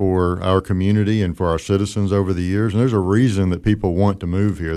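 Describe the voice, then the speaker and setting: A man's very deep, low voice, dark and mellow in tone, with fairly even intonation. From moved around: Kansas, Tennessee, Texas. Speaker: business owner and chamber of commerce chairman. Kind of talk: radio interview.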